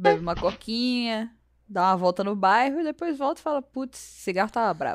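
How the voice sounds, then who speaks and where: Pitch swings very widely as a woman with a fairly high voice speaks at a fairly quick pace. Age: 20s. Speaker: small business owner. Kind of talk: casual chat. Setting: at home.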